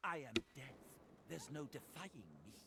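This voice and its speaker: Using a growling, put-on character voice, a man speaks at a moderate pace with a fairly high pitch. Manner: snarling, menacing.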